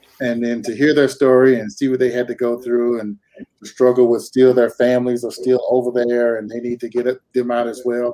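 A man with a Southern US accent speaks at medium pitch, with a dark, mellow tone. His intonation is monotone and flat, at a fairly quick pace. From North Carolina, US South. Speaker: high school coach, military veteran. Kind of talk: interview.

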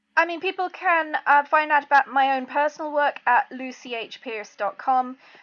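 A woman speaks at a high pitch and a moderate pace, with hardly any pauses. Her pitch variation is ordinary. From UK and Ireland. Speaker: author and publisher. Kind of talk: interview.

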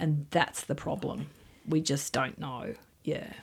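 Speaking at a moderate pace, a woman with an Australian accent has very deep, low pitch. Vocal fry runs through her voice. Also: very clean recording, silent background. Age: 50s. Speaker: nursing lecturer. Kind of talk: radio interview.

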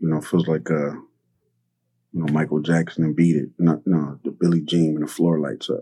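Speaking at a moderate pace, a man uses a very deep, low voice with a dark, mellow tone. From South Central Los Angeles. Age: 50s. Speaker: artist and community organizer. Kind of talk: interview conversation. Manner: casual, many filler words.

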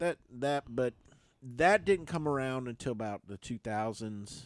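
A man with a medium-pitched voice talks at a fairly slow pace in an ordinary speaking voice, the sound dry and close with no echo. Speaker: radio host. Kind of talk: casual chat. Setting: studio.

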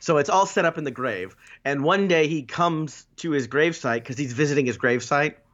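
A man with a fairly high pitch, ordinary pitch variation and an ordinary speaking voice. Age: 30s. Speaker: podcast co-host. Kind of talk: casual chat.

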